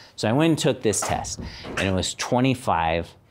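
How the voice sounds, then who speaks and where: This man with an American accent swings his pitch very widely, and there is noticeable background noise. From Arizona, US Southwest. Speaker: university dean; guest. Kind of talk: personal talk to students; talk to a class, personal story. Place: classroom.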